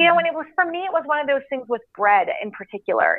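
Speaking with a Canadian accent, a woman uses lively intonation. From Canada. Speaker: entrepreneur and health advocate. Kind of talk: interview conversation. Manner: animated.

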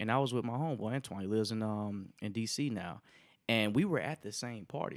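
A man's medium-pitched voice at a fairly quick pace, with ordinary pitch variation, on a very clean recording with a silent background. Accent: American. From Alabama, US South. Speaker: engineer and part-time DJ. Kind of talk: casual chat.

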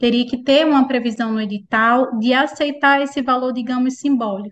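A woman speaks with a high pitch and fairly even intonation. The recording is very clean, with a silent background. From Pernambuco, Brazil. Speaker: public procurement instructor. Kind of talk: explanatory interview chat.

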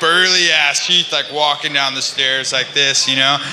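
A man with an American accent at a moderate pace, fairly even in intonation, with audible room echo and noticeable background noise. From California. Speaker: pro skateboarder. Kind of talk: casual chat. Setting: stage with audience.

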